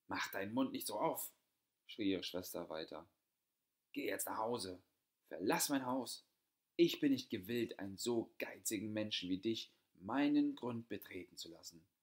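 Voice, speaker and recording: A medium-pitched male voice with lively intonation and long, frequent pauses. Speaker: audiobook narrator. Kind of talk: fairy tale storytelling, reading aloud. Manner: calm, measured storyteller's narration, with soft, sorrowful tone in sad passages.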